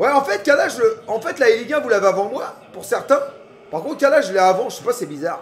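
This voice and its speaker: At a very fast pace and an extremely high pitch, a man speaks in an animated tone with big swings in loudness. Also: lively intonation. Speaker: streamer. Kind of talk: live football reaction stream, casual chat. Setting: at home on his couch. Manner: animated, shouting at the match.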